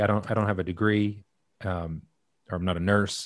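A man's fairly low voice, a normal speaking voice, on a very clean recording with a silent background. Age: 40s. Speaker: podcast host, heart attack survivor. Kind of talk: interview.

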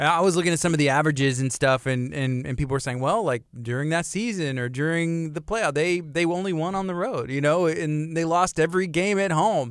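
Using an ordinary speaking voice, a man with an American accent talks at a fairly quick pace and fairly high pitch, with ordinary pitch variation and hardly any pauses. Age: 30s. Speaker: radio host. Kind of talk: radio interview. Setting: radio studio.

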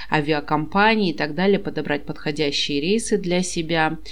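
A woman's lively intonation with audible room echo. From Kazakhstan. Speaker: podcast host. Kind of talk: casual chat.

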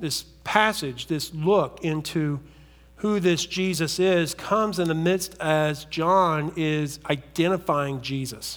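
A man's very slow, fairly high voice in an Appalachian accent, with ordinary pitch variation. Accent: Appalachian American. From US South, southern West Virginia. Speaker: pastor. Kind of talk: sermon.

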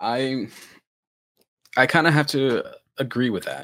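In a very clean recording with a silent background, a man speaks at medium pitch in a bright, sharp tone. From moved around, mainly Pennsylvania from about age ten (born in the Bronx). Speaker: podcast host. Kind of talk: casual chat.

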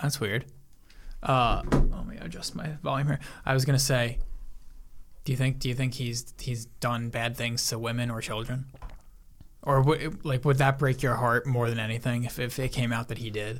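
A man's somewhat breathy speech is broken by long, frequent pauses. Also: medium pitch for a man, fairly even intonation, moderate pace. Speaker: podcast co-host. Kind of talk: casual banter between friends.

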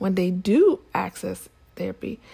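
The voice has a dark, mellow tone, somewhat breathy, moving at a fairly slow pace. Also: woman. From Nigeria. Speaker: podcast host, public health advisor. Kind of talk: solo podcast monologue. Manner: casual with frequent fillers.

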